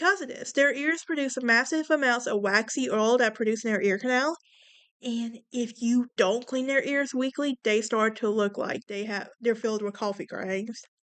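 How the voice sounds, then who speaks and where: Ordinary pitch variation and a moderate pace mark the speech, set against a quiet background. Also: woman. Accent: Southern US. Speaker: podcast host. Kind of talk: casual podcast monologue reading facts. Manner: casual, with fillers and stumbles.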